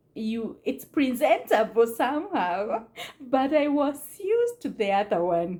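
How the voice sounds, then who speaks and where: At a very slow pace, a woman with a non-native accent speaks in very wide pitch swings. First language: not English. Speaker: immigrant mother on family channel. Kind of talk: casual talk to camera. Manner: hesitant, with fillers.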